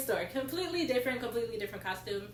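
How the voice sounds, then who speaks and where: A woman with an American accent speaks with very wide pitch swings, and audible echo fills the room. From US South, Georgia (Stone Mountain, near Atlanta). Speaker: college program participant, retail cast member. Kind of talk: casual chat.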